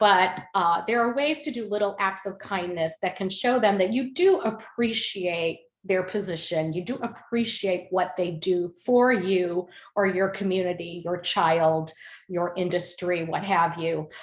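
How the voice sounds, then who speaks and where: Her voice is an ordinary speaking voice, medium in pitch, with ordinary pitch variation, as this woman talks at a fairly slow pace. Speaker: parent advocate presenter. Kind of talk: webinar presentation.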